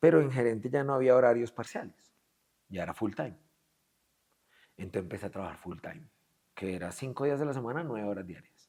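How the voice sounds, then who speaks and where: Speaking in a Colombian accent at a medium pitch, a man with a dark, mellow tone talks at a fairly quick pace yet leaves long, frequent pauses, with big swings in loudness. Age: 40s. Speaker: business executive. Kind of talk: interview. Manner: animated.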